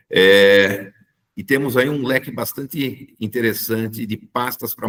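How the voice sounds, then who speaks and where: The voice belongs to a man, pitched in the medium range. He speaks with lively intonation. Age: 60s. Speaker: engineer and company technical director. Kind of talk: corporate presentation. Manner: hesitant, frequent filler 'é'.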